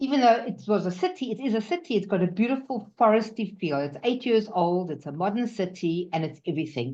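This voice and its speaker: A woman's dark, mellow tone with very wide pitch swings and hardly any pauses, against a quiet background. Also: medium pitch for a woman, fairly quick pace. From South Africa. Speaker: new immigrant sharing experience. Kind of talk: personal testimony. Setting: webinar video call. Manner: animated.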